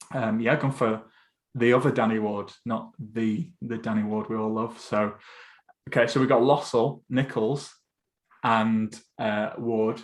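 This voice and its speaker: A man with a northern English accent talks at medium pitch with fairly even intonation. He leaves long, frequent pauses. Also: fairly slow pace. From Essex, England. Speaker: football podcast host. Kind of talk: casual podcast chat.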